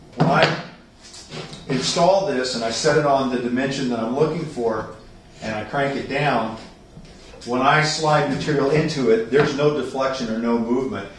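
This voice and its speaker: A man talks at a moderate pace with long, frequent pauses. Room echo is audible, along with light background noise. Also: ordinary pitch variation. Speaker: carpenter demonstrating a tool. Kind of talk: tutorial. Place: garage.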